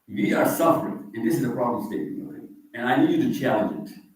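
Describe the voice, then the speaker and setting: The man's voice carries audible room echo. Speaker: visiting Islamic speaker. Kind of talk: talk to a live audience. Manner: informal, conversational.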